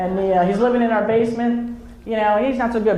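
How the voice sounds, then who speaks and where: A woman with a New Jersey accent speaks at a fairly high pitch, with noticeable background noise and audible room echo. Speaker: comedian. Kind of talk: stand-up. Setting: stage with audience.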